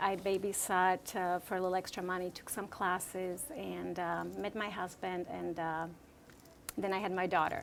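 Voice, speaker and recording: At a moderate pace, a woman with a Slovak accent speaks at a medium pitch. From Slovakia. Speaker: real estate agent. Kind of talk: interview. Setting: room with audience.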